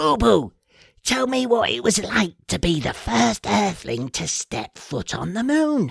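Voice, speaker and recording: A raspy, high-pitched put-on character voice from a man, fairly slow in pace, with a dry, close sound and no echo. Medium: read story.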